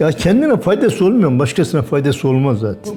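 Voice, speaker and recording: Over noticeable background noise, a man's pitch swings very widely. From Erzincan, eastern Turkey. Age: 80s+. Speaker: retired bus and truck driver. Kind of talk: interview answer.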